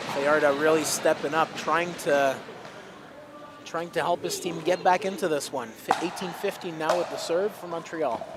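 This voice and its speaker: A high-pitched man's voice with fairly even intonation and noticeable background noise. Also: moderate pace. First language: French. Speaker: pickleball commentator. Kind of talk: live sports commentary.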